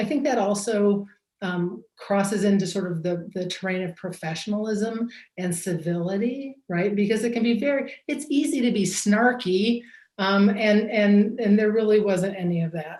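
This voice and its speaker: A woman speaks in a medium pitch with ordinary pitch variation and a somewhat breathy quality. Her pace is moderate. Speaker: judge scoring a mock trial. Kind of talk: feedback to students.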